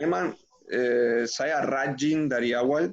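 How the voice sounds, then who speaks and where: A man speaks with a Spanish accent. His pitch is medium and his intonation fairly even. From Uruguay. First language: Spanish (speaking Indonesian). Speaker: former footballer and coach. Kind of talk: interview.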